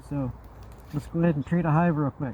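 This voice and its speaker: Noticeable background noise fills the recording. Through it, a man talks with fairly even intonation. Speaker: beekeeper. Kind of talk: tutorial. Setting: outdoors. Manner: casual.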